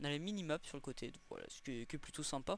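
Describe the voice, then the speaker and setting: On a very clean recording with a silent background, a man with a fairly high pitch speaks with ordinary pitch variation. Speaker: gaming youtuber. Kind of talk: gameplay commentary. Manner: fast; halting, many fillers and repeats.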